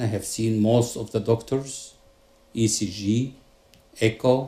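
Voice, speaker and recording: This man's voice has a dark, mellow tone. It is also somewhat breathy. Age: 60s. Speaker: psychiatrist and patient giving testimonial. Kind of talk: testimony.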